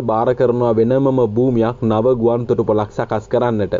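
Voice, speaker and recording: At a very slow pace, a man speaks with a medium pitch over noticeable background noise. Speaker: news commentator. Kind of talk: news commentary.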